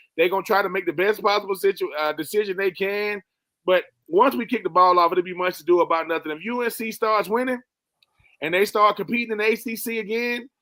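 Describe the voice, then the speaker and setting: A bright, sharp voice with an American accent is raised and projected, moving at a very fast pace with ordinary pitch variation. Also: man, high pitch for a man. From US South, Swainsboro, Georgia. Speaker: sports commentator. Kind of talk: panel discussion.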